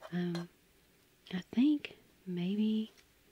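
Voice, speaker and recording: A soft-spoken woman with a fairly low pitch and a dark, mellow, relaxed, somewhat breathy tone, in dry sound with no echo and light background noise. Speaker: home baker. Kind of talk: soft-spoken ASMR baking narration. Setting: home kitchen with microphone. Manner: soft-spoken, relaxed.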